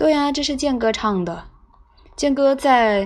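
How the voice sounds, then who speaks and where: Over noticeable background noise, a woman talks at a fairly slow pace with lively intonation. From China, Anhui. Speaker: fan club radio host. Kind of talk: live-stream chat. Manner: relaxed; animated.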